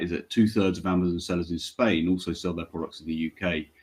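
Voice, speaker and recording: Against a quiet background, a man with a British accent talks at a very fast pace in a very deep, low pitch with fairly even intonation. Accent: British, noted by speaker. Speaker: payments company regional manager. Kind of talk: webinar panel presentation.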